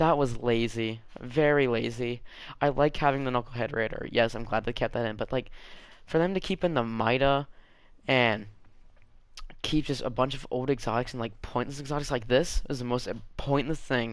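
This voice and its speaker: An unremarkable speaking voice at a moderate pace, fairly even intonation, and a quiet background. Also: man, medium pitch for a man. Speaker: gaming video creator. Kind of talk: gameplay commentary rant.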